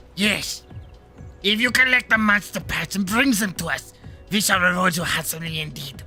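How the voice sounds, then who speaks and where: Over clear background music, a man puts on a character voice, high-pitched, raised and projected, at a moderate pace. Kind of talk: archaic, formal. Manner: pompous, theatrical.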